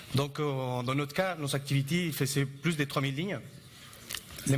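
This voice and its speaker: A fairly high-pitched man with a non-native accent and fairly even intonation, amid audible room echo and noticeable background noise. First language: not French (speaking French). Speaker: Android developer. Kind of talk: conference talk.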